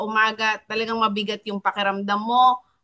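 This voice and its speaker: A woman with a normal speaking voice, fairly high in pitch, talks at a moderate pace. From Philippines, Batangas. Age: 50s. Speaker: wellness coach co-host. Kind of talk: testimony. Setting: online live stream. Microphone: laptop.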